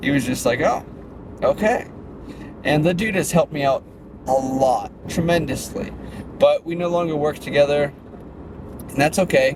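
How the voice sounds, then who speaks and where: Noticeable background noise sits behind a man with a fairly high pitch. He uses ordinary pitch variation and takes long, frequent pauses. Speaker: fitness brand owner and vlogger. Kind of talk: casual vlog monologue. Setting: in a car. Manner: fast.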